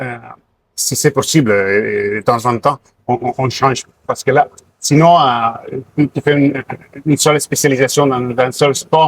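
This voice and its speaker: A man speaks at medium pitch and a fairly slow pace, with fairly even intonation. Long, frequent pauses break up his speech in a dry, close sound with no echo. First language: Catalan (speaking French). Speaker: sports doctor. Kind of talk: interview. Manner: halting, many hesitations.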